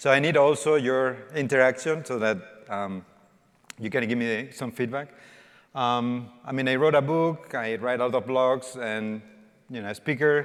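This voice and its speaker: A man with a Spanish accent speaks at a moderate pace, his medium pitch showing ordinary variation. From Spain. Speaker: developer evangelist. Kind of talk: conference talk. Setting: stage with audience. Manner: interactive, informal.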